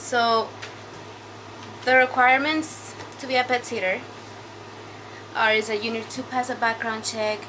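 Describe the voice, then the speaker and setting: A woman with a non-native accent speaks at a fairly high pitch, pausing long and often. Noticeable background noise runs underneath. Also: fairly even intonation, moderate pace. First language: not English. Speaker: side hustle vlogger, pet sitter. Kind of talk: casual vlog talk. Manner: halting, many fillers.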